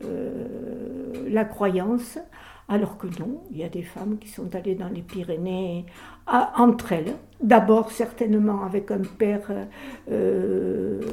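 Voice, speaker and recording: Very slow pace from a woman, medium in pitch, with ordinary pitch variation. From French Pyrenees, Comminges. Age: 80s+. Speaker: author on women mountaineers. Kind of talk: interview. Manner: halting, many hesitations.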